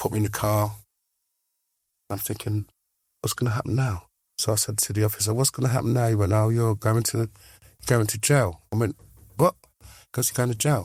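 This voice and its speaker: In an English accent, a man talks at a fairly quick pace with long, frequent pauses and a somewhat breathy voice, on a very clean recording with a silent background. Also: fairly low pitch for a man. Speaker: former prisoner and recovered addict. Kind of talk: interview storytelling. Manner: animated.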